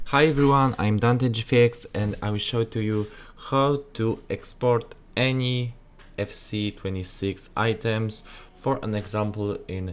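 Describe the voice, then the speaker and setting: With a strong Polish accent, a man speaks at a fairly slow pace with ordinary pitch variation. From Poland. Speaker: gaming graphics content creator. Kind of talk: tutorial. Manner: halting, many filler sounds.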